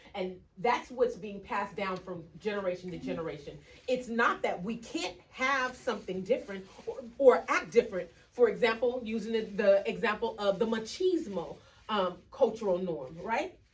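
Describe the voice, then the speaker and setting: A woman speaks with a fairly high pitch, lively intonation and an animated tone. Her loudness swings widely over noticeable background noise. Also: moderate pace. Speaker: educational consultant. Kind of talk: workshop presentation.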